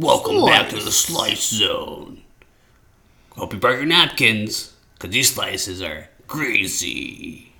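Putting on a character voice, a man talks at a fairly slow pace with big swings in loudness. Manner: showy announcer delivery.

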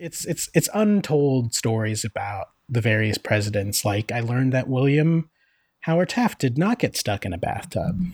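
A man's somewhat breathy, medium-pitched voice with an American accent and lively intonation, on a very clean recording with a silent background. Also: dry, close sound with no echo. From Northeast Pennsylvania. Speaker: podcast co-host. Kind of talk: casual chat. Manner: halting.

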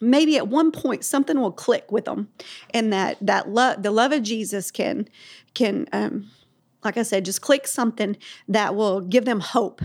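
On a very clean recording with a silent background, a woman with an ordinary speaking voice talks at a moderate pace, her pitch fairly high with ordinary pitch variation. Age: 40s. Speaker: founder of homeless ministry nonprofit. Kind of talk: faith-based interview.

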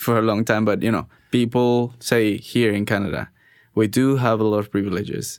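On a very clean recording with a silent background, a man speaks at a medium pitch in a monotone, flat intonation with very even loudness. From Mexico. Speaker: podcast host. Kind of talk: interview.

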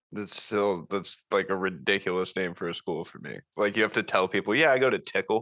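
A man with a fairly low pitch talks at a fairly quick pace with hardly any pauses, in an animated tone. His tone is bright and sharp, with ordinary pitch variation and big swings in loudness. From US Florida. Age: 20s. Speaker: podcast host. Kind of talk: casual chat. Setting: video call. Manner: joking, animated.

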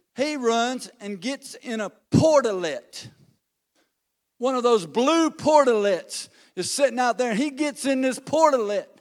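A man speaks loudly and in an animated tone at a fairly slow pace, his extremely high pitch moving with ordinary variation. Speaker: lay preacher. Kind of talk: sermon. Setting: church.

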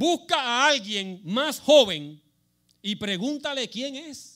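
Very wide pitch swings run through a bright, sharp tone. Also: man. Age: 70s. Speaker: lay preacher. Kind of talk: sermon.

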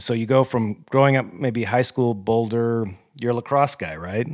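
A man talks at a moderate pace in a medium pitch. He has an unremarkable speaking voice. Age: 40s. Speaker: podcast host, amateur ultrarunner. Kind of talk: interview.

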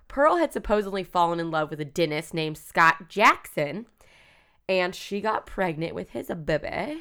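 A woman speaks at fairly low pitch with a bright, sharp tone and lively intonation on a very clean recording with a silent background. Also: moderate pace. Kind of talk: casual chat, storytelling. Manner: animated.

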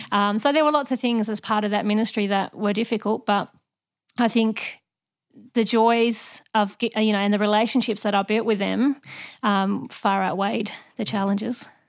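On a very clean recording with a silent background, a woman uses an ordinary speaking voice at a fairly high pitch. She keeps a moderate pace and fairly even intonation. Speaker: officer, missionary childcare worker. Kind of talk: casual interview chat.

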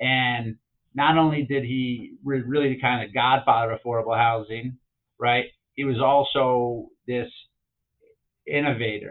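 Using a medium pitch and monotone, flat intonation, a man with an American accent talks at a fairly slow pace with long, frequent pauses. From Chicago, then Southern California. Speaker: real estate developer and founder. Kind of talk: casual interview conversation. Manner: halting, repeats words.

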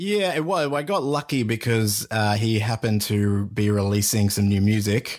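A speaker with an Australian accent talks at a moderate pace, keeping the loudness very even and the pitch variation ordinary, on a very clean recording with a silent background. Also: man, fairly low pitch for a man. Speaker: podcast host. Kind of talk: casual chat.

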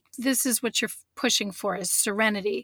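With a normal speaking voice, a woman talks at a fairly high pitch with ordinary pitch variation. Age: 40s. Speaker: author. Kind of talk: interview.

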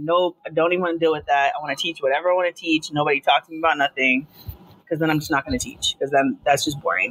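A woman with an American accent, fairly low in pitch, talking at a very fast pace with lively intonation, in a dry, close sound with no echo and noticeable background noise. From Long Island, New York. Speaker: teacher. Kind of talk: interview. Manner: fast, run-on.

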